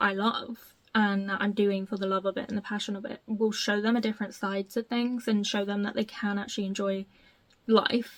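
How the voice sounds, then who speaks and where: Here the speaker is a woman. There is a somewhat breathy quality to her voice. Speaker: tarot reader. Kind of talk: casual talk to camera.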